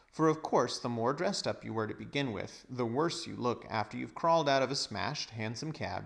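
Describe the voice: Someone is doing plain reading aloud.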